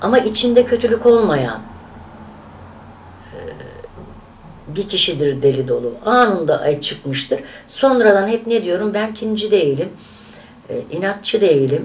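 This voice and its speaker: A woman at a fairly slow pace with very wide pitch swings and long, frequent pauses, over light background noise. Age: 60s. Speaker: vlogger. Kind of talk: casual vlog monologue; casual vlog chat. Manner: animated; halting. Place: home room. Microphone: camera far.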